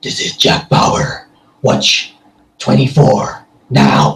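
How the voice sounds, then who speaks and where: A man puts on a character voice. He speaks at a very slow pace. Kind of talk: movie trailer voiceover. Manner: scary, dramatic.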